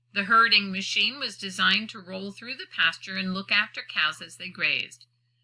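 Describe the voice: With lively intonation, the passage is given as plain reading aloud.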